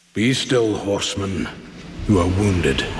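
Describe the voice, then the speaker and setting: A put-on character voice speaks at a moderate pace with a slight echo. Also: man, fairly low pitch for a man. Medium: machinima. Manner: slow, knowing, chuckling.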